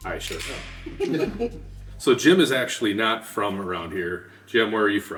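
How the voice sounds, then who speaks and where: With a Minnesotan accent, a man speaks at a moderate pace, his loudness swinging widely, over music in the background. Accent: Minnesota. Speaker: podcast host, tech company team member. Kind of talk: casual chat with beer tasting and business discussion.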